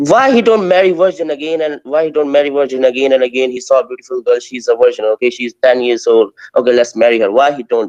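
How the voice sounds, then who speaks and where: Rushing at a very fast pace with hardly any pauses, the voice has lively intonation and a dry, close sound with no echo. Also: man, fairly high pitch for a man. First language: not English. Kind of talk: heated debate. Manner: halting, hesitant.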